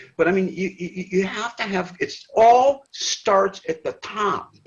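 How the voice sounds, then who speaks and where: This man's voice sits at a high pitch, and he speaks fairly slowly. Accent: Michigan. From Detroit, Michigan. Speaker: retired sportscaster. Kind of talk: casual chat.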